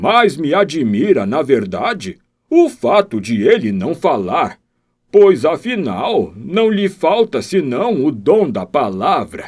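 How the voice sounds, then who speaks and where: A man's put-on character voice, high-pitched and warm, with very wide pitch swings. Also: fairly slow pace. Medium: read story. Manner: warm, respectful.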